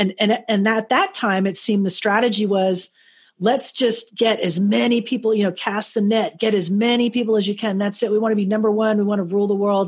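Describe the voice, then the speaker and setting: A woman with an American accent talks at a fairly quick pace and a fairly high pitch. Her intonation is monotone and flat, and her loudness is very even. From South Florida. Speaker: radio host and network manager. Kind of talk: interview. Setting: video call. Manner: casual.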